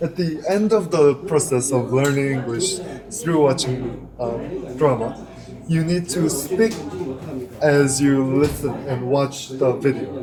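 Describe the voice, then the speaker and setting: At a very slow pace, a man with a Korean accent and fairly high pitch talks with ordinary pitch variation, accompanied by noticeable background noise and audible room echo. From South Korea. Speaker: interview guest, English learner. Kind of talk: casual interview chat. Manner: hesitant, with fillers.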